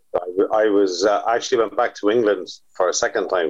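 At a moderate pace, a man speaks with a Waterford accent. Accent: Waterford Irish. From Ireland, Waterford. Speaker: drummer and former promoter. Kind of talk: casual chat.

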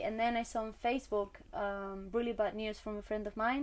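A woman's fairly high voice with a Spanish accent. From Spain. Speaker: mother of twins. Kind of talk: casual chat. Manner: halting.

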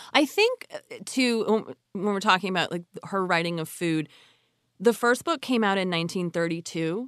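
Against a quiet background, a woman talks at a fairly quick pace in a normal speaking voice. The sound is dry and close with no echo, and her pitch varies an ordinary amount. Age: 40s. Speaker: podcast host and journalist. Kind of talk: casual interview.

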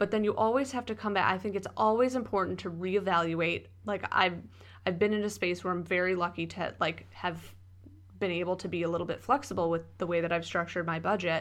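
A woman's medium-pitched voice with vocal fry, very fast in pace and with ordinary pitch variation, against a quiet background. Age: 30s. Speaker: podcast co-host. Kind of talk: casual chat.

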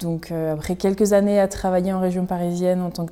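A woman talks fairly quickly in a fairly low pitch, with a dark, mellow tone and monotone, flat intonation. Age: 20s. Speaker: costume maker and artisan. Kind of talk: casual interview. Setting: in her workshop.

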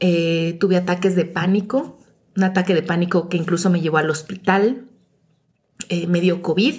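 A woman talks at a moderate pace and a fairly low pitch, with ordinary pitch variation. Her voice is somewhat breathy and very even in loudness. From Mexico City. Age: 40s. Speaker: podcast host. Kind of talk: personal reflective monologue.

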